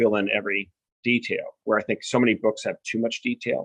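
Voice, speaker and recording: This is a man. He speaks with an American accent. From US West Coast, Newport Beach, California. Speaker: novelist. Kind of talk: podcast interview.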